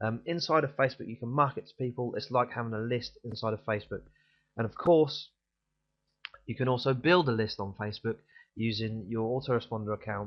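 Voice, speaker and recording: This man has a British accent and a medium pitch. He talks at a fairly quick pace with ordinary pitch variation. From UK. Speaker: online marketing vlogger. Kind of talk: tutorial. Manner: fast; casual, frequent fillers.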